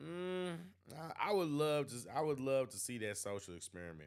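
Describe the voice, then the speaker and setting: A man talks at a fairly quick pace in an American accent. His pitch swings very widely. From St. Louis, Missouri (US Midwest). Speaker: YouTube reaction streamer. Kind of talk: live stream commentary reading chat. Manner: halting, many fillers.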